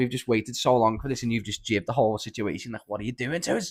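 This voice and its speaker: A man speaks at a very fast pace. He has a strong Scouse accent. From Liverpool. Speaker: podcast guest. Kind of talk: casual chat. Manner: animated.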